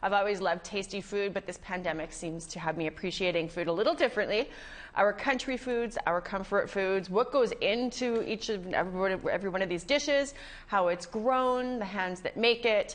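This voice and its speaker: This woman talks at a moderate pace. Her pitch varies in an ordinary way. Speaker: show host. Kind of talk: TV show host introduction. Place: studio. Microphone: lapel.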